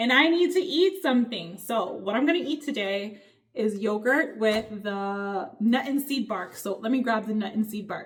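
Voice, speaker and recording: Somewhat breathy, a woman talks at a fairly high pitch. Her intonation is lively and her pace moderate. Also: hardly any pauses. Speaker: lifestyle vlogger. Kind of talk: casual vlog talk to camera.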